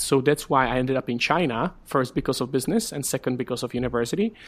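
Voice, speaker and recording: With a Czech accent, a man at medium pitch speaks at a very fast pace in a very clean recording with a silent background. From Czech Republic. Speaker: startup community director. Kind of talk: interview.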